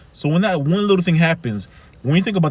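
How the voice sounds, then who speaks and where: In a Haitian accent, a man speaks with an animated tone, lively intonation and a somewhat breathy voice. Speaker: life coach. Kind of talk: motivational talk.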